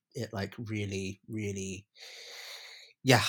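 A man with a London accent speaks at a fairly low pitch. The recording is very clean, with a silent background. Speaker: podcast co-host. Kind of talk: casual chat.

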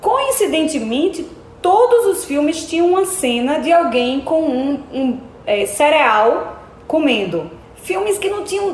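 Over noticeable background noise, a woman with a northeastern Brazilian accent speaks very slowly at an extremely high pitch with very wide pitch swings. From Brazil, Alagoas. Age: young. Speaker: filmmaker and actress. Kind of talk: interview conversation. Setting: in-person office.

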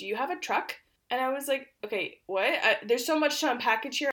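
Loud and high-pitched, a woman speaks with lively intonation. The recording is very clean, with a silent background. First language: Polish. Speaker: podcast co-host. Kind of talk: casual chat. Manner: loud laughter.

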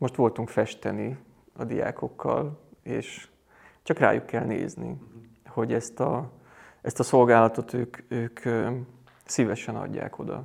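A man's voice with vocal fry and fairly even intonation, at a very slow pace with long, frequent pauses, on a very clean recording with a silent background. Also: medium pitch for a man. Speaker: Jesuit priest, college rector. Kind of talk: interview conversation. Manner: halting, many repetitions.

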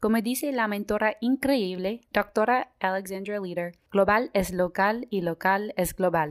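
Speaking at a fairly slow pace with hardly any pauses, a woman uses a medium pitch, ordinary pitch variation and an American accent. The sound is dry and close with no echo, on a very clean recording with a silent background. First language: English (speaking Spanish). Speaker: medical student, podcast host. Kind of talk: scripted podcast introduction.

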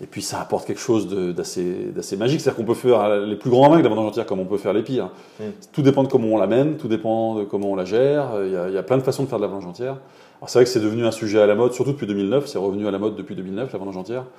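A man speaks very fast in a fairly low voice with a dark, mellow tone and ordinary pitch variation. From France, Loire Valley (Montlouis-sur-Loire). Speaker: winemaker. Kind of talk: interview. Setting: at his wine estate.

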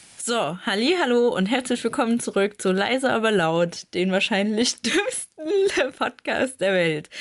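Fairly high in pitch, a woman speaks at a fairly slow pace with hardly any pauses, very even loudness and very wide pitch swings. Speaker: podcast host. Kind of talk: casual chat. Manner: laughs often.

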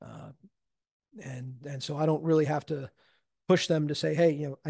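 A man speaks at a moderate pace in a fairly high pitch with fairly even intonation and a dark, mellow, somewhat breathy tone. The sound is dry and close, with no echo. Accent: American. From US Northeast, Long Island, New York. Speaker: towboat captain. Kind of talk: interview, casual storytelling. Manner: halting, many fillers and repeated words.

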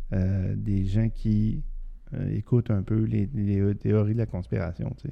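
Quebec accent at a fairly slow pace, ordinary pitch variation, noticeable background noise. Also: man, fairly low pitch for a man. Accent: Québécois French. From Quebec City region. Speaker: podcast co-host. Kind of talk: casual chat.

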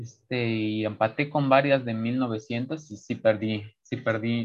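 With fairly even intonation, a man speaks at a medium pitch in an ordinary speaking voice. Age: young. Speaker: chess player. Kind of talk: interview.

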